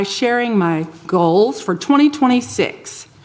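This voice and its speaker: Over noticeable background noise, a woman with a fairly high pitch speaks at a fairly slow pace, her pitch swinging very widely. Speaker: mayor presiding over city council. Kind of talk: public meeting chairing. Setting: city council chamber. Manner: soft-spoken.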